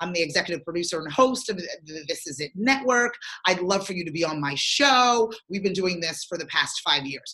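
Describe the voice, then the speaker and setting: With an American accent, a woman talks at a moderate pace in a fairly low pitch with lively intonation and a plain, everyday voice. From southern New Jersey. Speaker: marketing entrepreneur and talk show host. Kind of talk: casual interview.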